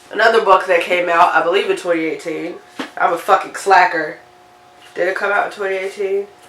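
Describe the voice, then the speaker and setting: Behind the voice there is noticeable background noise. The speaker is a woman. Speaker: book reviewer. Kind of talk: casual talk to camera.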